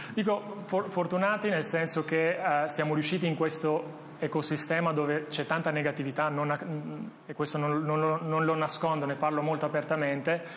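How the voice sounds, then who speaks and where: Over noticeable background noise, a man with a fairly high pitch speaks at a moderate pace with fairly even intonation and hardly any pauses. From Albania, moved to Italy at 16. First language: Albanian (speaking Italian). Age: 30s. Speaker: tech startup founder and CEO. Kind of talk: interview. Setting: studio. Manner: halting, frequent repetitions.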